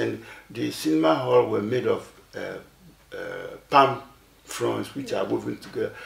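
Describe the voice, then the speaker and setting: A man with a Ghanaian accent at a fairly slow pace, with audible room echo. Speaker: elderly artist. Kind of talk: interview, recounting memories. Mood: reflective storytelling. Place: studio.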